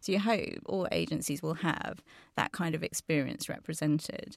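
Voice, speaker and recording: Very deep, low-pitched woman's voice with vocal fry, ordinary pitch variation and moderate pace, in a dry, close sound with no echo on a very clean recording with a silent background. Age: 40s. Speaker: agency chief executive. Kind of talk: panel discussion. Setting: studio.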